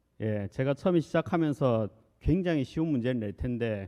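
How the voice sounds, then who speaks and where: With a Busan accent, a man of medium pitch talks at a moderate pace, his voice swinging very widely in pitch, the sound dry and close with no echo. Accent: Gyeongsang (Busan) dialect. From Korea, Busan. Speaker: corporate director, presenter. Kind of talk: conference presentation. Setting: stage with audience. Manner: conversational, frequent fillers.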